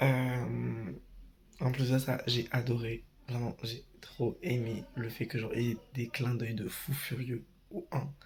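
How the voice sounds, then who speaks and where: At a very slow pace, a man with vocal fry talks at a medium pitch, his intonation fairly even. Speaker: vlogger. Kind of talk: vlog. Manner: hesitant.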